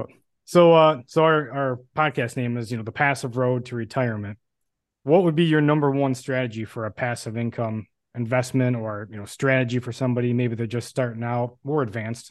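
A man's plain, everyday voice, medium in pitch, with fairly even intonation and a fairly quick pace. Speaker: podcast host. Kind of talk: interview intro and chat.

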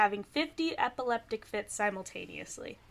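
An ordinary speaking voice from a woman, fairly high in pitch, with ordinary pitch variation. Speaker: podcast co-host. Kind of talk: casual comedic chat.

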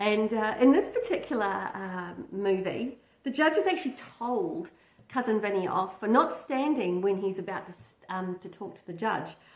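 In a room with audible echo, a woman of medium pitch speaks at a moderate pace with lively intonation.

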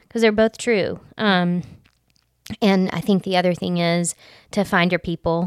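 Someone with a Southern US accent speaks with fairly even intonation and long, frequent pauses in a dry, close sound with no echo. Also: woman, medium pitch for a woman. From US South, Alabama Gulf Coast. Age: 40s. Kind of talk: personal testimony in casual interview.

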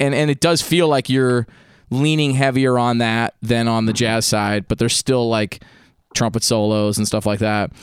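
A man with a plain, everyday voice speaks at a medium pitch and moderate pace, with fairly even intonation and very even loudness, in a dry, close sound with no echo on a very clean recording with a silent background. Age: 30s. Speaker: podcast host and musician. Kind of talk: casual interview chat.

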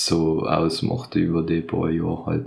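A man talking at a fairly slow pace. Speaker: podcast co-host, recent school graduate. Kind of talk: casual chat.

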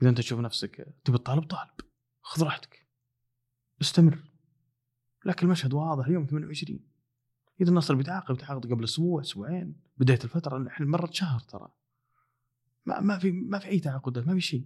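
This soft-spoken man has a Saudi accent and a fairly high pitch. His intonation is lively, broken by long, frequent pauses. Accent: Saudi Gulf Arabic. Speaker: football podcaster. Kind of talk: casual monologue.

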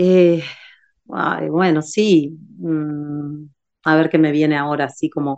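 A woman with a very deep, low pitch talks at a very slow pace, leaving long, frequent pauses. Her intonation stays fairly even. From Uruguay. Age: 40s. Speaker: yoga teacher. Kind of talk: interview. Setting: video call. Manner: halting.

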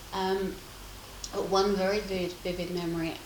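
At a moderate pace and medium pitch, a woman speaks with audible room echo and noticeable background noise. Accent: southern English. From England, Essex countryside. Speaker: craft community founder. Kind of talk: casual interview. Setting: at her home.

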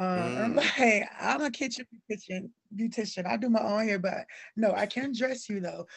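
At a moderate pace, an ordinary speaking voice with an American accent uses ordinary pitch variation. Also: woman, fairly high pitch for a woman. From Cleveland, Ohio, with years in Alabama and Georgia. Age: 30s. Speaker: fashion blogger and stylist. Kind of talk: casual interview chat.

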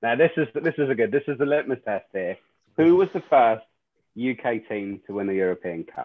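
This man has a medium pitch. His pitch swings very widely. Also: moderate pace. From Scotland. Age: 30s. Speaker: podcast co-host. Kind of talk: casual chat.

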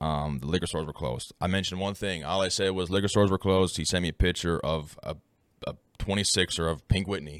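A man's very deep, low voice at a very fast pace with fairly even intonation. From Newfoundland, Canada. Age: 20s. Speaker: Twitch streamer and college student. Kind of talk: casual chat. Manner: casual, chatty.

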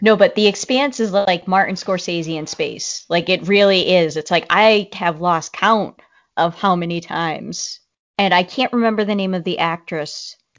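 With a Boston accent, a woman speaks at a moderate pace with ordinary pitch variation. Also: medium pitch for a woman. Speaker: podcast co-host. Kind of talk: casual chat. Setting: remote call, co-hosts far apart.

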